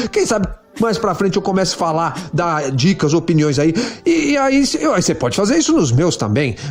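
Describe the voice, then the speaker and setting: Music plays in the background as a man with a high voice speaks at a moderate pace, his pitch swinging very widely. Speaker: podcaster. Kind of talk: solo podcast monologue. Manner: casual, filler-heavy.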